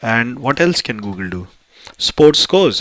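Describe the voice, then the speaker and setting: In an Indian accent, the voice has a bright, sharp tone. It moves at a fairly slow pace. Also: man. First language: Hindi. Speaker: tech YouTuber. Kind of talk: tutorial. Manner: hesitant, many fillers.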